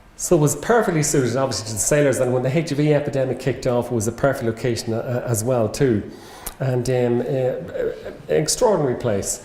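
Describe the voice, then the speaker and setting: Talking at a very fast pace, a man with a medium pitch and ordinary pitch variation is heard amid noticeable background noise and audible room echo. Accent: Irish. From Ireland. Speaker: medical professor. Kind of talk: lecture. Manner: halting.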